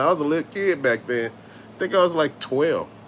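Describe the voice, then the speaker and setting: A man speaks with an animated tone and lively intonation at a high pitch. His pace is fairly quick. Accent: Southern US. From US South. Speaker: YouTube host, toy collector. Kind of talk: casual live-stream chat.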